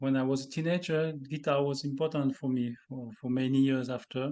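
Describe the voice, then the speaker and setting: A man with a French accent speaks at a medium pitch and a moderate pace. His tone is dark and mellow, his intonation flat and monotone. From France, the Alps. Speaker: composer. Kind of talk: interview about his music. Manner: halting.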